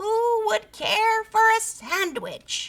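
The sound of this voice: A woman's put-on character voice, extremely high and fairly bright, slow-paced with big pitch swings.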